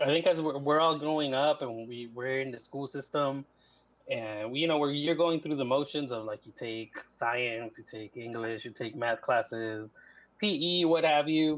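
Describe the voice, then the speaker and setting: A man with a Spanish accent speaks at a moderate pace in a fairly high pitch. His pitch varies in an ordinary way, while his loudness swings widely. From US, grew up undocumented, born in Mexico. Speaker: writer and communications professional. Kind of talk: casual interview.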